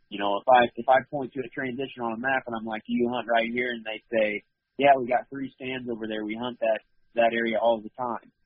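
An American-accented man talks at a fairly quick pace and medium pitch with monotone, flat intonation. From northeast Missouri. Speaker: hunter and outdoor video creator. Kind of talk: casual interview.

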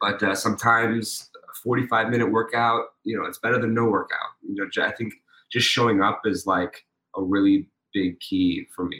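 A man with an American accent speaks in a normal speaking voice at medium pitch and a moderate pace, with fairly even intonation. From Pittsburgh, Pennsylvania. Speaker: tap dancer and actor. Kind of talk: casual interview.

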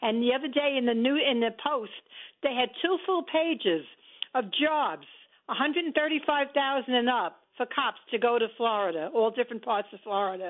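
This voice moves at a moderate pace with lively intonation. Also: woman, high pitch for a woman. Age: 70s. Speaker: caller. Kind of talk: call-in talk radio. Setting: phone call.

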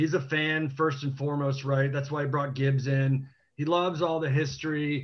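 In an American accent, a man speaks with a somewhat breathy, fairly high voice and monotone, flat intonation. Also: moderate pace. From Washington DC. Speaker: TV producer and team fan. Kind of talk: casual panel chat.

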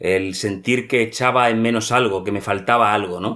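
At a moderate speed, a man talks in an unremarkable speaking voice of medium pitch, his tone varying in an ordinary way. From Spain, Madrid. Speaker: polar explorer. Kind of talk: interview. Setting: remote call.

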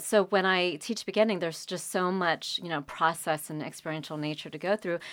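A woman's plain, everyday voice with an American accent, fairly low pitch, fairly even intonation and a fairly quick pace, with hardly any pauses. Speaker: painter and art teacher. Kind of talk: interview conversation.

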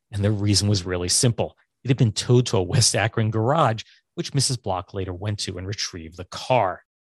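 A man with a fairly low pitch and somewhat breathy delivery speaks with ordinary pitch variation, recorded dry and close with no echo over a quiet background. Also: fairly quick pace. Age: 50s. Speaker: podcast host. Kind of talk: casual chat. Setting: video call.

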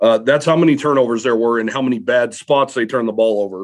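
This man has a plain, everyday voice. His pitch is medium, with ordinary pitch variation. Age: 30s. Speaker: sports beat writer. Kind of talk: casual chat.

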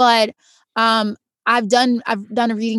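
Monotone, flat intonation at a moderate pace, in a dry, close sound with no echo, on a very clean recording with a silent background. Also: woman. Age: 20s. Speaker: actress and stunt performer. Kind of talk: casual chat.

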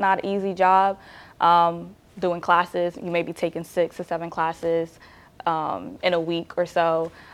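A woman with an American accent talks in an unremarkable speaking voice, fairly low in pitch with ordinary pitch variation, on a very clean recording with a silent background. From New Jersey, Nigerian family. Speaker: college student. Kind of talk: casual interview.

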